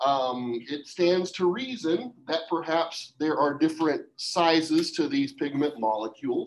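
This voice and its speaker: Very wide pitch swings with hardly any pauses. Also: man, high pitch for a man, fairly slow pace. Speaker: science teacher. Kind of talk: classroom lecture. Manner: casual.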